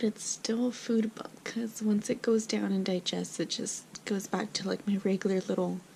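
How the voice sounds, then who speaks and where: A woman whispers fairly slowly, with noticeable noise behind her. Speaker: pregnancy vlogger. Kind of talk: casual vlog. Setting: at home at night. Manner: whispering; hesitant, filler words.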